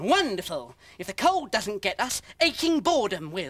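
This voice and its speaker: A cartoonish character voice at a middle pitch moves at a moderate pace with very wide pitch swings. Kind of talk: comic puppet voice. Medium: comedy sketch.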